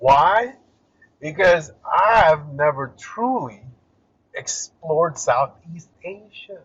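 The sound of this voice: A man at a very slow pace, fairly high in pitch for a man, with a fairly bright tone, a slightly husky edge and lively intonation.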